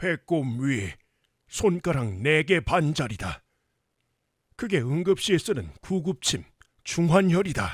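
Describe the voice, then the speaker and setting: A man speaks in a put-on character voice, fairly high-pitched for a man, at a fairly slow pace with long, frequent pauses. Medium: audio drama. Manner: archaic, commanding speech.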